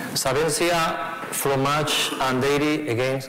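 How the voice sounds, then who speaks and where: With a Spanish accent and fairly even intonation, a man speaks amid noticeable background noise and audible room echo. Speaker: fund manager. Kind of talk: conference presentation. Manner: halting, many fillers.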